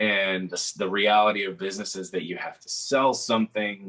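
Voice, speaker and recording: This man speaks with a Texan accent. His pitch sits fairly low. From South Texas, Coastal Bend (Kingsville area). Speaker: singer-songwriter and guitarist. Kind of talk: casual interview conversation.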